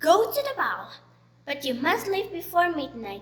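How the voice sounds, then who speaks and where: Putting on a character voice, a woman speaks at an extremely high pitch and a moderate pace, her pitch swinging very widely. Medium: read story.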